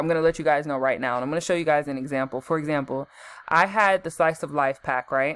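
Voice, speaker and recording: The woman's tone is animated. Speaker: gaming youtuber. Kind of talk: tutorial. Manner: fast; casual, animated.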